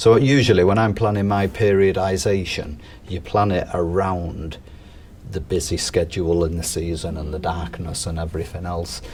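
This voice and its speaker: Over noticeable background noise, a man with a Mancunian accent speaks at a moderate pace in a very deep, low voice with ordinary pitch variation. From northern England, Manchester. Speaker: strength and conditioning coach. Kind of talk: casual interview chat.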